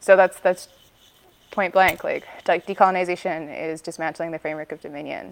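Here is a woman with a Canadian accent and an ordinary speaking voice. Her pitch is fairly low, and her loudness swings widely. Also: fairly even intonation, fairly quick pace. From Vancouver, British Columbia, Canada. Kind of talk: interview conversation.

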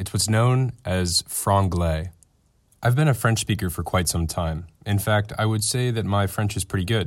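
Ordinary pitch variation runs through a man's normal speaking voice as he talks at a fairly quick pace. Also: very clean recording, silent background. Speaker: podcast company executive. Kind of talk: scripted narration.

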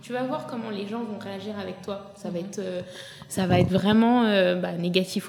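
Medium-pitched woman's voice with ordinary pitch variation and noticeable background noise. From France. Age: 30s. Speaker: influencer. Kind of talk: casual chat.

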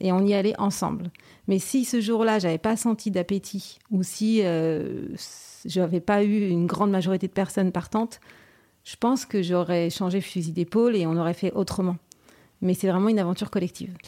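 The tone is dark and mellow. A woman speaks with fairly even intonation. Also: medium pitch for a woman, moderate pace. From France, Brittany (Saint-Malo). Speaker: company president. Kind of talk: interview.

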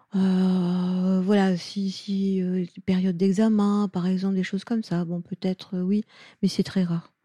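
A woman speaks at a very slow pace in a monotone, flat intonation. Her somewhat breathy voice has a dark, mellow tone, heard in a dry, close sound with no echo. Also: medium pitch for a woman, very clean recording, silent background. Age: 70s. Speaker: pediatric osteopath. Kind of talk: interview. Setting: osteopathy practice in Lyon.

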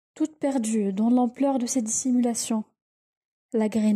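A woman with a fairly high pitch and a dark, mellow tone speaks at a fairly slow pace, somewhat breathy, in a dry, close sound with no echo. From Tunisia. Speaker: student. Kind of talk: reading aloud.

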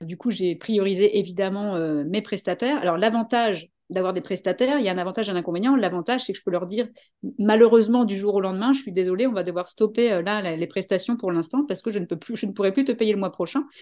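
Speaking very fast, a woman has a dark, mellow tone, medium pitch and ordinary pitch variation. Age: 40s. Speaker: business coach. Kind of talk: interview.

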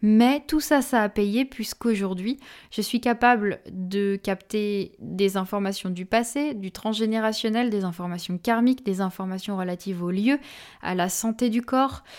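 A woman speaks at a fairly slow pace in an ordinary speaking voice. The recording is very clean, with a silent background. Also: medium pitch for a woman, ordinary pitch variation. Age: 20s. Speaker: medium and energy healer podcast host. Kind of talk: solo podcast monologue.

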